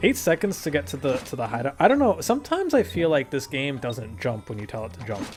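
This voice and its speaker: Over music in the background, a man talks at a very fast pace, with very wide pitch swings and big swings in loudness. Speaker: gaming YouTuber. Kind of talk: gameplay commentary. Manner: casual, rambling with fillers.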